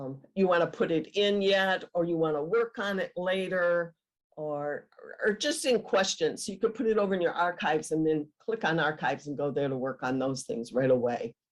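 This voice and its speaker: A woman's fairly low voice with an American accent, lively intonation and a moderate pace. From Michigan, USA. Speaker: genealogist, retired teacher. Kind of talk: webinar presentation.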